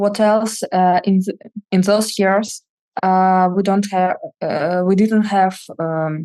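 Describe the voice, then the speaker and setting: Speaking very slowly in a flat monotone, a woman with a dark, mellow tone leaves long, frequent pauses. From Russia, Moscow. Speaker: data analyst. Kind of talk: casual interview chat. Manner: halting, many fillers.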